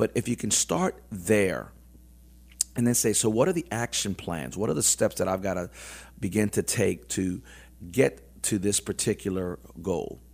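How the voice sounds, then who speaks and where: A man speaks in a plain, everyday voice at a fairly low pitch. He keeps a moderate pace with lively intonation. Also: very clean recording, silent background. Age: 50s. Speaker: businessman and motivational speaker. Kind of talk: casual interview. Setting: studio.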